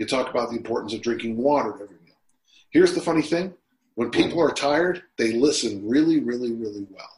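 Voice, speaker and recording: Talking very fast with lively intonation, a man of medium pitch with an American accent swings widely in loudness. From US, Utah. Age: 60s. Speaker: strength and conditioning coach. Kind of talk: casual interview.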